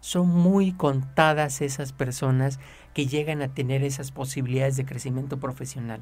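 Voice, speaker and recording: In a room with audible echo, a man with a Mexican accent speaks at a fairly high pitch and a moderate pace, somewhat breathy, with fairly even intonation. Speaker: personal finance advisor. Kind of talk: radio advice talk.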